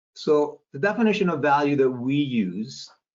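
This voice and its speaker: Lively intonation marks this man's fairly high voice. He keeps a moderate pace. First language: not English. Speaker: sales expert. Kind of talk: webinar talk.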